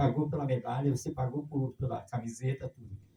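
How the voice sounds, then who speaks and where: A man speaks in a dark, mellow tone at a fairly high pitch. His delivery is fairly quick and somewhat breathy. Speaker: street runner. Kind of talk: interview.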